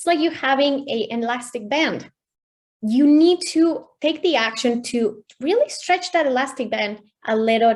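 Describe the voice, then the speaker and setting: Lively intonation marks a woman's high voice with a Spanish accent. Her pace is moderate. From Mexico. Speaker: mindset coach. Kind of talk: online workshop presentation.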